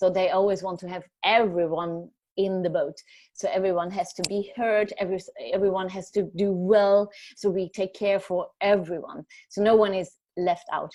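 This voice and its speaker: A woman with a German accent talks at a moderate pace in a medium pitch. Her tone is dark and mellow, and her intonation is monotone and flat. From Germany. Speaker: journalist. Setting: video call. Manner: halting, many fillers.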